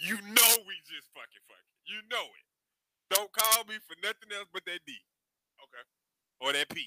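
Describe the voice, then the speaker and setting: A raised, projected voice with a bright, sharp tone, lively intonation and big swings in loudness, at a moderate pace with long, frequent pauses, in a dry, close sound with no echo. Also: man, high pitch for a man. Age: 40s. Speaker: podcast co-host. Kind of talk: casual chat.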